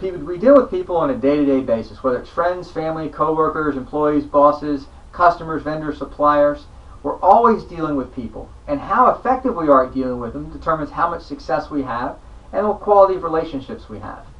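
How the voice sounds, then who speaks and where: A man with a fairly high pitch, lively intonation and big swings in loudness, at a fairly quick pace over noticeable background noise. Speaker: sales trainer. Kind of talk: training talk. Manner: changes pace and lowers voice for effect.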